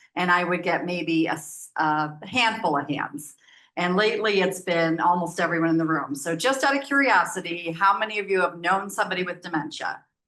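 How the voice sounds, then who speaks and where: Loud and with a bright, sharp tone, a woman with an American accent speaks at a fairly quick pace and a fairly low pitch with ordinary pitch variation. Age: 60s. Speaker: nonprofit program manager. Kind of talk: presentation.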